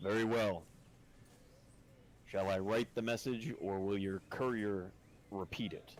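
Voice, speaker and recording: Through clear background noise, a man in a put-on character voice speaks at a fairly slow pace and fairly low pitch, with fairly even intonation and long, frequent pauses. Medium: actual play. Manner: formal, measured.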